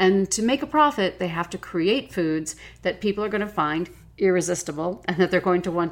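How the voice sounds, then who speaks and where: A woman with an unremarkable speaking voice talks at a medium pitch and moderate pace with lively intonation on a very clean recording with a silent background. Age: 50s. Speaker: podcast host and nutrition coach. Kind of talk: solo podcast monologue.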